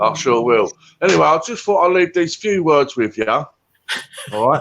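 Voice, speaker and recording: With a Cockney accent, a man with a fairly high pitch talks at a moderate pace, his pitch swinging very widely. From England. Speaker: guest. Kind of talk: casual chat.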